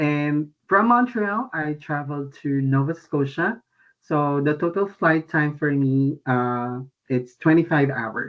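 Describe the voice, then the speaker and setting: A man with a Filipino accent speaks at a very slow pace and a fairly high pitch, with ordinary pitch variation. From Philippines, Antipolo, Rizal province. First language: Tagalog. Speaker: international student. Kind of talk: presentation. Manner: halting.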